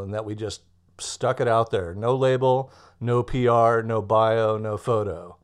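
A man speaks at a medium pitch with a Californian accent. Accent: General American (Californian). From US West Coast, Los Angeles. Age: 50s. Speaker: musician and songwriter. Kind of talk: casual interview. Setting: remote call.

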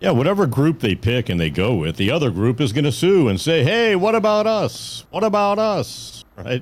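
On a very clean recording with a silent background, a man with fairly high pitch speaks at a moderate pace, very even loudness and very wide pitch swings. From Las Vegas. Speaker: cannabis lab founder. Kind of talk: live news talk show.

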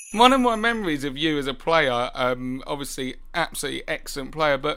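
Bright and sharp in tone, a man with a British accent speaks at a fairly high pitch with lively intonation. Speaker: football podcast co-host. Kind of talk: casual chat.

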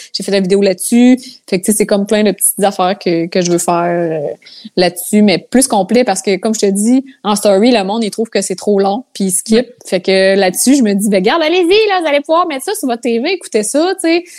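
On a very clean recording with a silent background, a woman speaks at a fairly quick pace with medium pitch and lively intonation. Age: 20s. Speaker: content creator. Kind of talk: casual chat.

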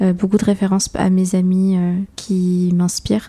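A woman speaks at a very slow pace. Her medium-pitched voice has a dark, mellow tone. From France, Paris suburbs (Seine-et-Marne), Peruvian parents. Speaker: filmmaker and photographer. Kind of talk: casual interview chat.

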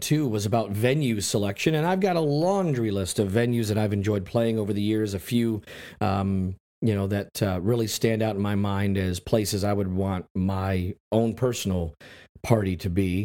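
A man's dark, mellow voice, fairly low in pitch, at a moderate pace on a very clean recording with a silent background. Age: 30s. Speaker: wedding DJ. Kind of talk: solo podcast monologue. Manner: casual, with frequent fillers. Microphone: new USB condenser mic, no pop filter.

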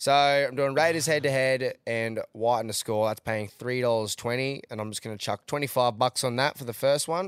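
In a Queensland accent, a man speaks at medium pitch and a moderate pace, animated in tone, with ordinary pitch variation and hardly any pauses. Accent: Australian, Queensland. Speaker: podcast host, rugby league and punting. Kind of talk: casual banter, sports recap. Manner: excitable, animated.

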